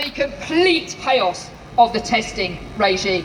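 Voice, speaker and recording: The voice is loud, shouting with very wide pitch swings. Noticeable background noise runs underneath. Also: woman. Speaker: teachers' union official. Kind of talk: rally speech. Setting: outdoor rally with crowd. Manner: impassioned.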